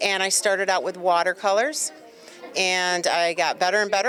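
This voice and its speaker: With music in the background, a woman talks at medium pitch and a moderate pace. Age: 60s. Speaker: artist. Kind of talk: casual interview. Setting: event venue.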